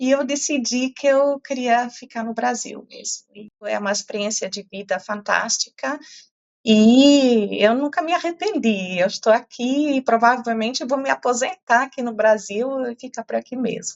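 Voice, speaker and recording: A woman with a slight non-native accent speaks at a high pitch with ordinary pitch variation. Her loudness swings widely. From Portugal (German family). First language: German (speaking Portuguese). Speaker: climate science professor. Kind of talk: interview. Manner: hesitant, many fillers.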